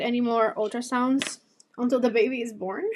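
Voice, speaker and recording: This woman has a Spanish accent and a high pitch, speaking at a moderate pace with fairly even intonation. The recording is very clean and the background silent. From Cuba. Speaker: beauty youtuber. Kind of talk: casual chat. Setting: live stream. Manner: chatty.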